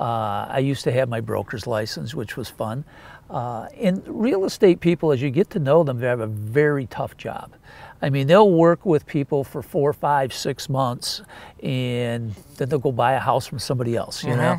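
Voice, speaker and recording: Delivered at a moderate pace, a plain, everyday voice moves with lively intonation. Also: man, medium pitch for a man. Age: 60s. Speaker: mortgage company president. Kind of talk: interview answer.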